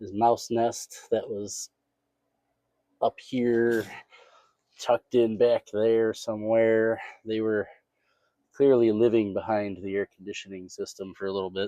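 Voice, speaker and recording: The voice has a dark, mellow tone and a monotone, flat intonation, moving at a fairly slow pace with long, frequent pauses. The sound is dry and close, with no echo. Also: man, medium pitch for a man. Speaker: car restoration youtuber. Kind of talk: tutorial.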